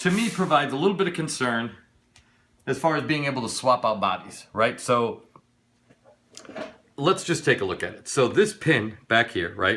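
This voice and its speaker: A man with a fairly high pitch speaks in an excited, animated tone with very wide pitch swings. His pace is moderate, broken by long, frequent pauses. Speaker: RC hobby YouTuber. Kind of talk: unboxing review. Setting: home studio. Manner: halting, stuttering.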